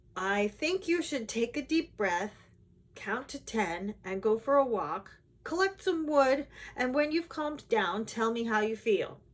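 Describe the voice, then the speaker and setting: In a put-on character voice, the speaker sounds gruff and rumbling at a fairly slow pace. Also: woman, fairly high pitch for a woman. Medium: read story. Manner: gruff, grumbling.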